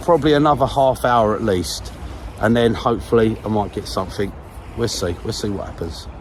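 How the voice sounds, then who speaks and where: In a London accent, a man talks with lively intonation at a medium pitch while noticeable background noise plays behind him. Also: fairly quick pace. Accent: southeast London. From southeast London. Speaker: fishing vlogger. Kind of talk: casual chat. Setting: outdoors.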